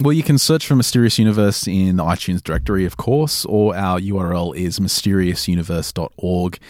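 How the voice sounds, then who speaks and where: A man's very deep, low voice with an Australian accent, fairly quick and lively in intonation, hardly any pauses, on a very clean recording with a silent background. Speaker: paranormal podcast producer and host. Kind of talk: interview.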